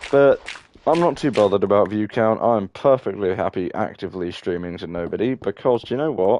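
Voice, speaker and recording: With a British accent, a man speaks at a fairly low pitch. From Britain. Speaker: gaming streamer. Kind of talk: casual gameplay commentary. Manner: sounds constantly angry, grunting; hesitant, many fillers.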